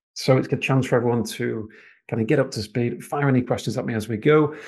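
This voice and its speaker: Against a quiet background, the voice moves at a very fast pace with vocal fry, ordinary pitch variation and a slight Manchester accent. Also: man. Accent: slight Manchester twang. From northern England, Manchester. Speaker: financial planner and residency advisor. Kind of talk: webinar presentation with live Q&A. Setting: live online webinar. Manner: hesitant, many fillers.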